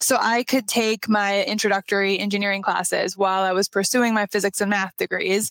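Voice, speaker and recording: A woman speaks at a medium pitch with a slight Minnesotan accent, moving at a fairly quick pace with hardly any pauses. Her intonation is monotone and flat, her loudness very even, and the recording very clean with a silent background. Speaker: structural engineer. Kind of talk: casual interview chat.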